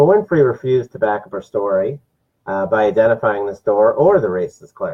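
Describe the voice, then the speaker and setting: Somewhat breathy male speech in an American accent, medium in pitch, with lively intonation at a moderate pace. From New Jersey. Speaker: political talk show host. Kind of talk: political commentary monologue. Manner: frequent filler words.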